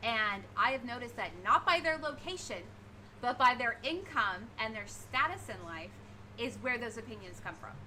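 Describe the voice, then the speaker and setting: Her loudness swinging widely, a woman speaks over noticeable background noise. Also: moderate pace. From England. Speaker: livestreamer. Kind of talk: casual chat.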